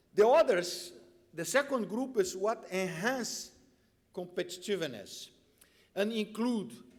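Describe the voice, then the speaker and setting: A man with a Brazilian accent speaks at a very slow pace in a high voice. His pitch swings very widely. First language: Portuguese. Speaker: tax policy expert. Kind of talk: conference speech. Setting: conference panel with audience.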